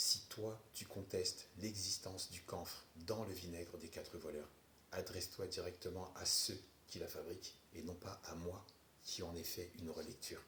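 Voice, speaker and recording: Over audible room echo, a man with a non-native accent speaks fairly slowly at a very deep, low pitch in a monotone, flat way. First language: not French (speaking French). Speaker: herbal remedies content creator. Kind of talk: response video. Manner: sarcastic.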